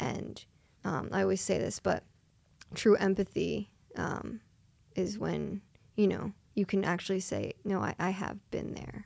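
A woman with a Philadelphia accent talks at a fairly slow pace. Her speech has long, frequent pauses. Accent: Philadelphia-area American. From US, Philadelphia area (Delaware County, Pennsylvania). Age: 20s. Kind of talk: interview testimony. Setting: studio.

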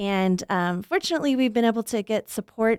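An unremarkable speaking voice from a woman with an American accent, fairly quick and with lively intonation, dry and close with no echo on a very clean recording with a silent background. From US South, Arkansas. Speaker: plant pathologist, professor. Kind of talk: interview. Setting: studio.

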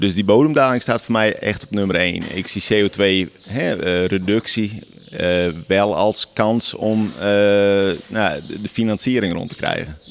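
Pacing is very slow as a man talks. His pitch is fairly low, with ordinary variation. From Friesland. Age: 30s. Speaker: dairy farmer. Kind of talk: field interview. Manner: halting.

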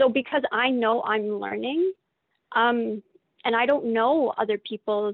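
With a Canadian accent and a plain, everyday voice, a woman talks at a fairly slow pace. Her pitch is fairly high, with ordinary pitch variation. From Calgary, Canada. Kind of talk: casual interview conversation.

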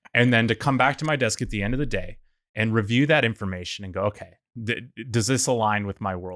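A man speaks in an unremarkable speaking voice, fairly low in pitch, at a fairly quick pace with ordinary pitch variation. The sound is dry and close with no echo, on a very clean recording with a silent background. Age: 30s. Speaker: geologist and tech startup co-founder. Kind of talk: casual chat.

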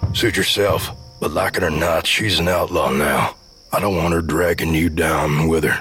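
A man's put-on character voice, raspy and very deep, at a moderate pace with fairly even intonation, very even loudness, and clear background noise. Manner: urgent, guarded.

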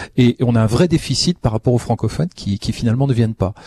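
A man with a medium-pitched, somewhat breathy voice speaks at a fairly quick pace in a dark, mellow tone, recorded dry and close with no echo. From France. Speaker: cultural institute director. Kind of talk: audience comments in panel. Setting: live broadcast from a community centre with audience.

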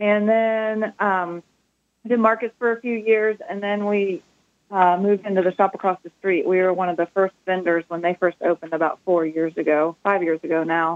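A woman with an unremarkable speaking voice talks at a moderate pace and medium pitch, her intonation fairly even, in a dry, close sound with no echo. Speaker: shop owner. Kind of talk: casual interview.

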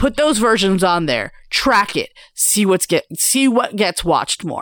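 The recording is very clean, with a silent background. A woman with a fairly high pitch talks fairly slowly in an animated tone with lively intonation. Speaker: podcast co-host. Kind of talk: casual chat. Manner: animated, laughs often, swears.

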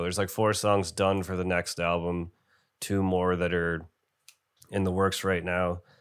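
A man with an American accent speaks at a fairly slow pace in a very deep, low pitch, on a very clean recording with a silent background. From Binghamton, New York. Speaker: metal band founder and musician. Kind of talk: casual interview chat.

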